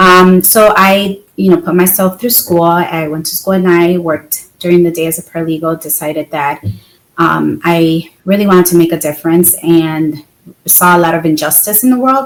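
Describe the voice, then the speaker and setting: An unremarkable speaking voice from a woman with an American accent, fairly low in pitch, with ordinary pitch variation at a moderate pace. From Chicago, US Midwest. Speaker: attorney and real estate investor. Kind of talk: podcast interview. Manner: many filler words (um, you know).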